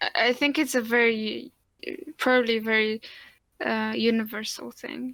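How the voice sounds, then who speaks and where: A speaker with a Polish accent talks at a moderate pace, leaving long, frequent pauses. The intonation stays fairly even. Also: woman, fairly high pitch for a woman. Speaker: podcast co-host. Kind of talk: casual chat.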